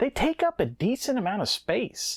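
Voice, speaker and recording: A man talks with a Southern US accent. The recording is very clean and silent in the background, with a dry, close sound and no echo. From Southeastern United States. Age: 40s. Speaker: retro game reviewer. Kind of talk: casual talk to camera.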